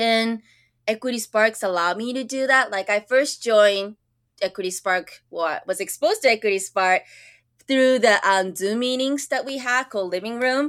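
A woman speaks at a moderate pace in a Japanese accent, her pitch fairly high with ordinary variation. The recording is very clean, with a silent background. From Japan, moved to US at nine. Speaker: school counselor. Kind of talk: interview conversation. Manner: animated, many fillers and restarts.

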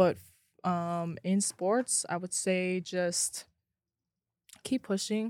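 A woman with a medium-pitched voice speaks at a very slow pace, leaving long, frequent pauses, her intonation fairly even, on a very clean recording with a silent background. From Hawaii. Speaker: college basketball player. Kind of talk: interview.

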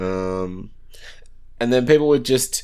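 Delivery is very slow. It comes in an Australian accent. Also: man. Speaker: podcast co-host. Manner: casual, laid-back.

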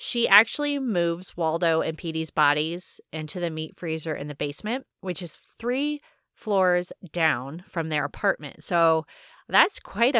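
An unremarkable speaking voice from a woman, fairly low in pitch, fairly slow, with lively intonation, in a dry, close, very clean recording with no echo and a silent background. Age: 30s. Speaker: podcast host reviewing a novel. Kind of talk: casual chat; reading aloud a chapter summary.

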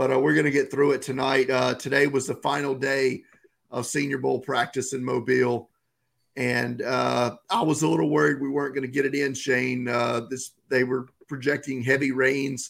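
The intonation stays fairly even, with vocal fry. The pace is moderate. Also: man, medium pitch for a man. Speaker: football draft podcast co-host. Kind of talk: casual podcast chat. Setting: podcast recording.

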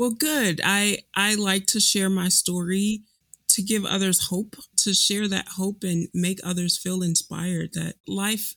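At a fairly slow pace, a woman with an American accent speaks at a medium pitch with fairly even intonation. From Chicago, US Midwest. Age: 30s. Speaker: cancer patient, public health professional. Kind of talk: personal testimony interview.

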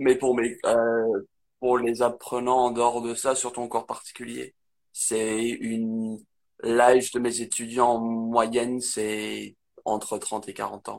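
A man speaks at a medium pitch and a very slow pace. His intonation is monotone and flat, with long, frequent pauses. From northern England, Manchester area. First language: English (speaking French). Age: 20s. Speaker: English teacher. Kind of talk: casual interview. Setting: Instagram live video. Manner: halting.

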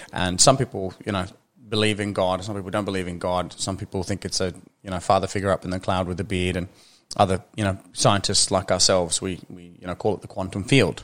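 Very fast and monotone with flat intonation, a man with a very deep, low pitch speaks with big swings in loudness. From Norway. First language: Norwegian. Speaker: chiropractor and teacher. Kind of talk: casual interview chat.

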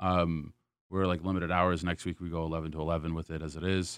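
Very fast and very deep, a man speaks with an American accent and monotone, flat intonation over a quiet background. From US South. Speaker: beverage director. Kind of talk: casual interview. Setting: studio.

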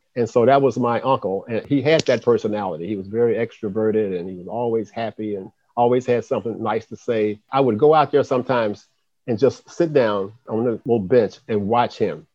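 A man with an American accent talks in an ordinary speaking voice at a medium pitch. His pace is fairly quick, his pitch variation ordinary, and his loudness swings widely. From US South, Birmingham, Alabama. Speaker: city commerce director. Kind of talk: interview.

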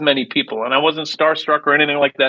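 With an Upper Midwest accent, a man with a fairly high pitch speaks in a bright, sharp tone. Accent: Upper Midwest American. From US Midwest, Minneapolis. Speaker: musician. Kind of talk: interview. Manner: halting.

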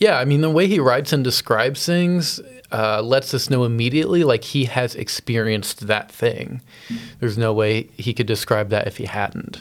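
In a normal speaking voice, the speaker goes at a moderate pace with ordinary pitch variation. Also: man, medium pitch for a man. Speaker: church podcast co-host. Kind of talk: casual chat.

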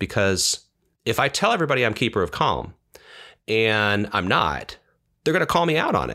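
On a very clean recording with a silent background, a man at medium pitch speaks at a moderate pace with a bright, sharp tone, vocal fry, very wide pitch swings and long, frequent pauses. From West County. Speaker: entrepreneur. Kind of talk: interview.

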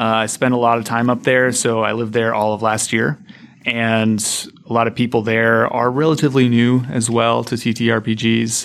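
This man has an ordinary speaking voice. He talks at a medium pitch and a moderate pace. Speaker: guest game master. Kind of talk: casual chat. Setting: studio.

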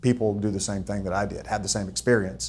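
This speaker talks with a Texan accent. The pitch varies in an ordinary way. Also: man. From Texas (Austin). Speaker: ranch real estate broker. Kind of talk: interview.

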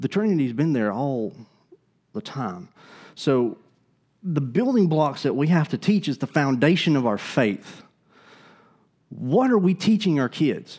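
With an Alabama accent, a man talks at a fairly slow pace in a fairly high pitch, his voice making very wide pitch swings and broken by long, frequent pauses, all on a very clean recording with a silent background. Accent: Southern US (Alabama). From US South, Alabama (Gadsden). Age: young. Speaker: pastor. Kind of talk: sermon. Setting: church.

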